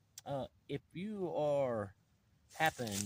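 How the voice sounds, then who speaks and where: A man's voice comes through dry and close with no echo. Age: 50s. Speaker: outdoor adventure vlogger. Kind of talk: casual chat. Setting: outdoors.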